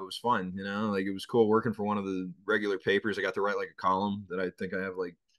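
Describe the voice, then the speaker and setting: The voice has an American accent and a bright, sharp tone with fairly even intonation. The background is quiet. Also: man. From Boston, North End. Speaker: sports radio host. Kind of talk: interview.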